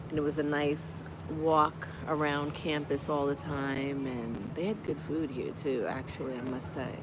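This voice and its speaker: A woman with a very deep, low pitch speaks at a fairly slow pace with ordinary pitch variation, against audible room echo and noticeable background noise. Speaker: lifestyle vlogger. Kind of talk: casual livestream chat. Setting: outdoors on a college campus. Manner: conversational, warm.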